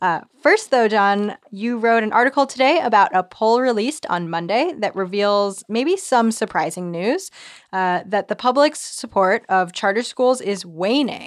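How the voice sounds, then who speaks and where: A woman's normal speaking voice, fairly high in pitch, with lively intonation at a moderate pace in a very clean recording with a silent background. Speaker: podcast producer and co-host. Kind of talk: conversational news podcast. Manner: casual, uses filler words.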